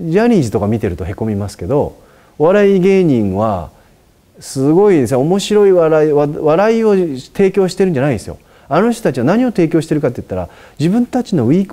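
This man's voice has a dark, mellow tone and sits fairly high in pitch. He talks at a very fast pace, with very wide pitch swings. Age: 40s. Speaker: Buddhist monk answering questions. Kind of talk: advice talk. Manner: casual, with many fillers. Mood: warm, lightly humorous. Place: home room. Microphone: lapel.

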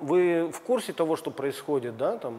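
A man speaks at a fairly high pitch against light background noise. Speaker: TV host. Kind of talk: interview. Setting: gym. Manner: formal. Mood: polite, curious. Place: gym. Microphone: lapel.

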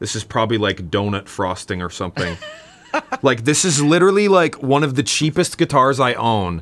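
Speaking at a moderate pace, a man uses a medium pitch, a fairly bright tone and lively intonation.

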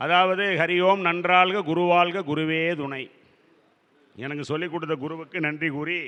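A man talks with a high pitch. His intonation is fairly even. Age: 60s. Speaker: astrologer. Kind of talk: lecture.

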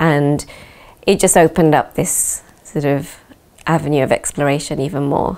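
A woman with a British accent has a very deep, low pitch and fairly even intonation. She keeps a moderate pace with long, frequent pauses. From UK. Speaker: dancer and choreographer. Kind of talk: interview. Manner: hesitant, with fillers. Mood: calm, reflective. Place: home room.

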